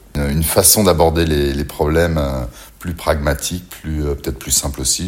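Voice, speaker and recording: Over noticeable background noise, a man with a very deep, low pitch talks with ordinary pitch variation. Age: 50s. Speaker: interviewee. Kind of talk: testimony.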